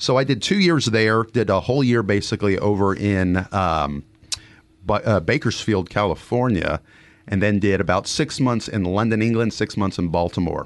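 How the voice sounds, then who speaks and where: A man with an American accent and a plain, everyday voice talks at a moderate pace and fairly low pitch, with ordinary pitch variation and very even loudness. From Texas, Dallas-Fort Worth. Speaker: family physician. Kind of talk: interview. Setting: studio.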